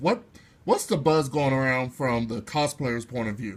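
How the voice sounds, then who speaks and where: This man has an unremarkable speaking voice with a medium pitch. He keeps a moderate pace and fairly even intonation. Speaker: interviewer, channel host. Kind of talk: interview questions.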